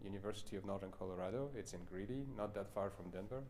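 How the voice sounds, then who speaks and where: A man rattles along at a very fast pace, with audible room echo around him. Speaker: pianist and piano professor. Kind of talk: masterclass closing chat.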